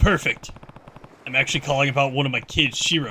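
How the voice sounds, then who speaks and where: Against sound effects in the background, a man rushes through a put-on character voice at a very fast pace and a fairly high pitch. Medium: game stream. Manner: calm, steady.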